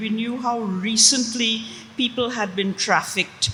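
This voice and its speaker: A woman at a very slow pace with a fairly high pitch, noticeable background noise behind her. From Trinidad. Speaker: author and linguist. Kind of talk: panel discussion.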